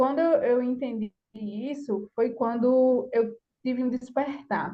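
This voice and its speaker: At a fairly slow pace, a woman with a fairly high voice speaks in a normal speaking voice with fairly even intonation. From Brazilian countryside. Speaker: course participant. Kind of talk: personal testimony.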